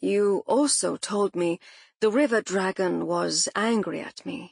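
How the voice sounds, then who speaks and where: Using a put-on character voice at a medium pitch, a woman speaks at a fairly slow pace, with a dry, close sound free of echo against a quiet background. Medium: read story. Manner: dry, laconic.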